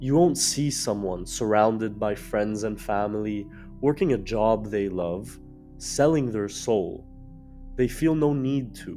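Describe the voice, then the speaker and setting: Over music in the background, a man with a fairly low pitch speaks at a fairly slow pace with ordinary pitch variation. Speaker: video essayist. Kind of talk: video essay narration.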